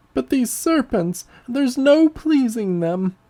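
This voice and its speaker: A put-on character voice, shrill and fairly high in pitch. It moves at a fairly slow pace. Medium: read story. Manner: shrill, accusatory, self-pitying.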